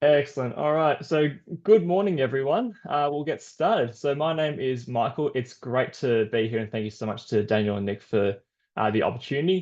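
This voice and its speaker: With an Australian accent, a man talks at a fairly quick pace, his intonation lively. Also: quiet background. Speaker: sports scientist. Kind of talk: webinar presentation.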